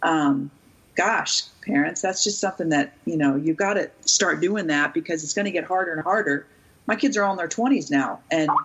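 At a moderate pace, a woman with a normal speaking voice talks at a fairly low pitch with lively intonation. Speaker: youth sports expert and author. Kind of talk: interview, casual chat.

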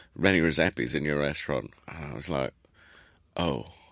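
A man talks at a fairly quick pace with a very deep, low pitch, ordinary pitch variation and vocal fry. The recording is very clean, with a silent background and a dry, close sound with no echo. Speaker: chef and restaurateur. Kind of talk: casual chat.

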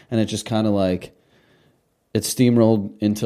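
A man's dark, mellow tone in a flat monotone at a fairly quick pace, on a very clean recording with a silent background. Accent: American. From Russia, emigrated to US as child. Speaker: party host and nightlife personality. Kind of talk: casual chat.

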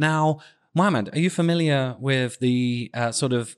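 Someone with a British accent speaks in an animated tone over a quiet background. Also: man. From United Kingdom. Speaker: podcast co-host. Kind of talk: casual chat. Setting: remote call. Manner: animated, laughs often.

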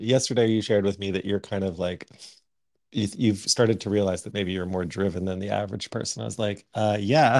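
An unremarkable speaking voice, a man with a Canadian accent and a fairly low pitch at a fairly quick pace. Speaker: artist and podcast co-host. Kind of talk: casual chat. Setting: at home on a remote call.

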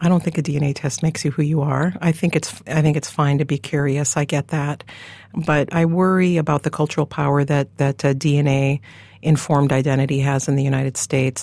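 With a very deep, low pitch, a woman speaks in a dark, mellow tone, her intonation monotone and flat and her loudness very even. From US Upper Midwest, Dakota homelands. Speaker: professor. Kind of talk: interview.

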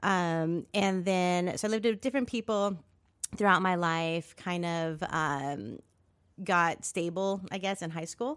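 The recording is very clean, with a silent background. A woman with a plain, everyday voice and a fairly low pitch speaks at a fairly slow pace with ordinary pitch variation. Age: 40s. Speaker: nonprofit founder and producer. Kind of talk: casual interview.

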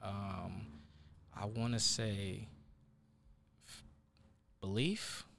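With an American accent, a man's fairly low voice carries a bright, sharp tone and fairly even intonation, with audible room echo around it. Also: long, frequent pauses, big swings in loudness. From US Northwest, South Seattle. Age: 20s. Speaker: sports journalist. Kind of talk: casual interview.

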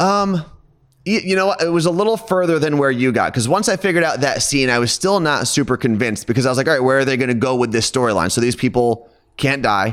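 A man with an American accent talks at a very fast pace, his fairly high pitch swinging very widely while his loudness stays very even. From New Jersey, outside New York City. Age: 30s. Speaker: radio host. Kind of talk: casual chat.

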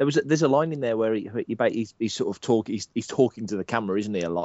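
Speaking in an English accent, a man's voice stays fairly low in pitch. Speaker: fan site writer and podcaster. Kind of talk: casual chat.

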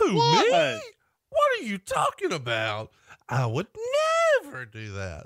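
A put-on character voice at middle pitch, fairly slow pace and long, frequent pauses. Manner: feigned innocence.

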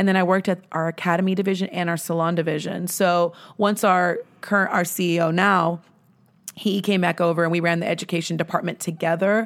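Very fast, monotone, flat speech from a woman with an American accent and fairly low pitch, at very even loudness on a very clean recording with a silent background. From Texas, Dallas-Fort Worth area (Grand Prairie). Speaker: salon company president. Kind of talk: casual interview.

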